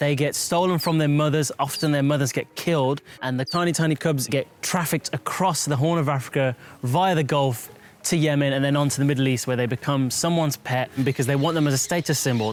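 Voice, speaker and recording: The speech moves at a fairly quick pace, with fairly even intonation and very even loudness. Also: man, fairly high pitch for a man. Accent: Birmingham. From West Midlands, England (Birmingham). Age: 20s. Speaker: wildlife vet. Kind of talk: documentary interview.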